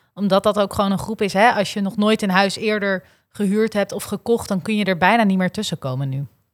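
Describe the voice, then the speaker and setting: A woman's unremarkable speaking voice, fairly quick, medium-pitched, with fairly even intonation, on a very clean recording with a silent background. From Noord-Holland, Netherlands. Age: 20s. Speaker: young politician. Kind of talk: political discussion.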